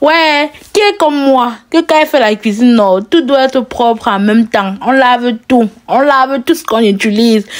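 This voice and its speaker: With a strong Cameroonian accent, a woman talks at a moderate pace in a high voice with lively intonation and very even loudness. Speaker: lifestyle vlogger. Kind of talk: cooking vlog narration. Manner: casual, chatty.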